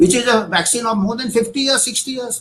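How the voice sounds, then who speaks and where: A man with an Indian accent speaks at a very fast pace. His pitch is extremely high, and his tone is bright and sharp. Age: 60s. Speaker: doctor / public health expert. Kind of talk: conference talk. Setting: virtual summit. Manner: halting.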